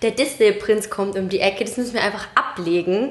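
Noticeable background noise behind a woman talking. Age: 20s. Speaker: podcast co-host. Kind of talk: casual chat.

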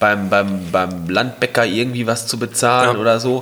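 Moderate pace and medium pitch from a man, with noticeable background noise. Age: 20s. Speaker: carpentry apprentice and hobby DJ. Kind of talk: casual chat.

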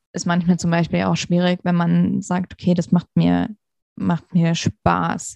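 Speaking fairly slowly, the woman has a fairly low-pitched voice. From Hesse, Germany. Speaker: interview guest, professional. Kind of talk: interview.

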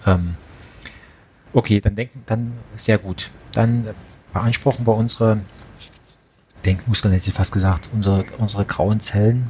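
With a slight Saxon accent, a man speaks at a moderate pace and fairly low pitch, his intonation fairly even and broken by long, frequent pauses. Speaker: audio drama producer. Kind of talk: casual chat.

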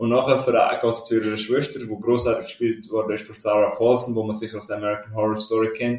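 A man at medium pitch rushes along very fast with hardly any pauses, his intonation flat and monotone while his loudness swings widely. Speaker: film podcast co-host. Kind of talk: casual chat. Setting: shared mic in military barracks.

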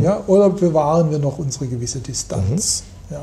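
Audible room echo carries a man's fairly high voice as he speaks with lively intonation at a moderate pace. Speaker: economist. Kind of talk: interview. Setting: office with view over city. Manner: hesitant, many fillers.

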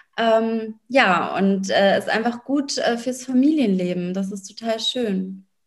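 Speaking very slowly with hardly any pauses, a woman uses a fairly high, somewhat breathy voice with ordinary pitch variation. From Berlin, Germany. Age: 30s. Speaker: lawyer and business coach. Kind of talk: interview.

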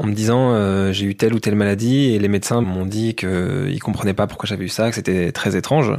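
A man talks at a fairly quick pace in an unremarkable speaking voice. His pitch is fairly low, with ordinary pitch variation. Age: 30s. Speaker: sports journalist. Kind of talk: interview about his investigation.

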